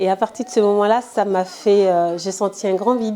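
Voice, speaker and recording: With an Ivorian accent, a woman speaks at a fairly high pitch with ordinary pitch variation over noticeable background noise. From Ivory Coast, south (Baoulé village). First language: Baoulé (speaking French). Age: 20s. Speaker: entrepreneur, interviewee. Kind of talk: interview testimony. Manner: hesitant, many fillers.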